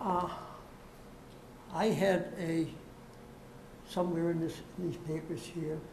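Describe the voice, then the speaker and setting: Against noticeable background noise and audible room echo, a woman with a fairly low pitch speaks at a very slow pace in a monotone, flat intonation. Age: 90s. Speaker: property owner seeking a variance. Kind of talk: public hearing testimony. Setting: public board meeting. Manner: halting.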